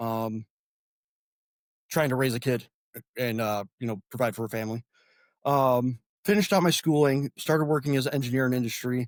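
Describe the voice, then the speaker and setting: Speaking at a fairly quick pace with a Midwestern American accent, a man with a medium-pitched voice and ordinary pitch variation leaves long, frequent pauses, captured in a very clean recording with a silent background and a dry, close sound with no echo. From northern Indiana, LaPorte County. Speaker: congressional candidate and army veteran. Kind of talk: interview. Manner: halting, many fillers.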